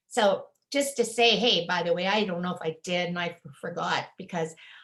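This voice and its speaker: At a moderate pace, a woman speaks with a medium pitch and a somewhat breathy sound. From Manitoba, Canada. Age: 70s. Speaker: retired teacher selling health products. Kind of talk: sales pitch. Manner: casual, conversational.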